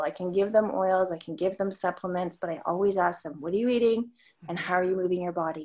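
At a fairly quick pace, a woman of medium pitch speaks in an unremarkable speaking voice with ordinary pitch variation. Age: 50s. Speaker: abundance coach and former tax accountant. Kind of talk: podcast interview.

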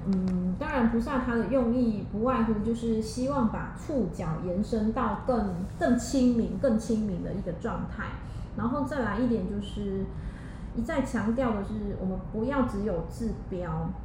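A woman speaks fairly slowly amid audible room echo and noticeable background noise. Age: 40s. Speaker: spiritual healer. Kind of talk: interview. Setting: healing studio.

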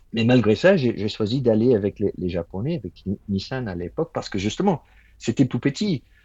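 A man speaks in a somewhat breathy, medium-pitched voice. His intonation is lively and his pace moderate. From Ireland. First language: English (speaking French). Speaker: automotive engineer. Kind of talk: interview. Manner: halting.

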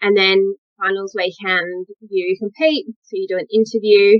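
A woman's medium-pitched, bright, sharp voice with an Australian accent, fairly even intonation and a dry, close sound with no echo. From Western Australia. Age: 20s. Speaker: model and pageant winner. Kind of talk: interview.

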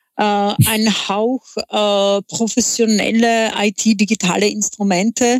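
A woman with a Czech accent and fairly high pitch speaks at a very slow pace in monotone, flat intonation, with a dry, close sound and no echo. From Czech Republic. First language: Czech (speaking German). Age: 40s. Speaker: entrepreneur. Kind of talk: interview. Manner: halting, many filler sounds.

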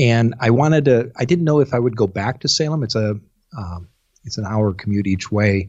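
Moderate pace and ordinary pitch variation from a man of medium pitch in a Midwestern American accent. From US Midwest, eastern Iowa. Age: 50s. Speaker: public relations specialist. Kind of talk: interview.

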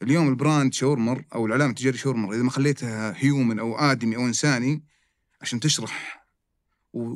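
A man's voice with ordinary pitch variation in a very clean recording with a silent background. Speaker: restaurant chain executive. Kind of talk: casual interview. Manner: animated.

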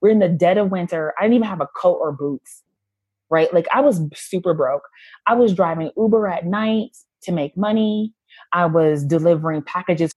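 In an American accent, an unremarkable speaking voice proceeds at a moderate speed, its pitch varying in an ordinary way. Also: woman, fairly low pitch for a woman. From US. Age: 30s. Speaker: former doula, online shop owner. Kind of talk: casual interview chat.

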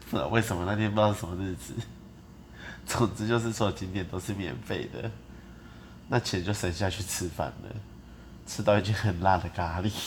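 A man's fairly low voice with vocal fry, a fairly quick pace, ordinary pitch variation and long, frequent pauses. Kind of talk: casual chat. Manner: rambling, disorganized.

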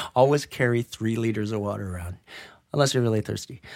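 A medium-pitched man with a Western Canadian accent at a fairly quick pace, ordinary pitch variation, on a very clean recording with a silent background. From Greater Vancouver, Canada. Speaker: special effects technician. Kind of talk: casual interview. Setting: small room at a public library.

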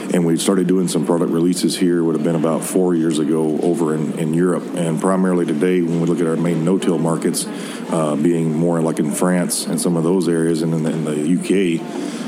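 Noticeable background noise surrounds a man with a very deep, low pitch. He talks at a fairly quick pace in a monotone, flat intonation. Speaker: product manager. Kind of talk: interview. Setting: trade show floor.

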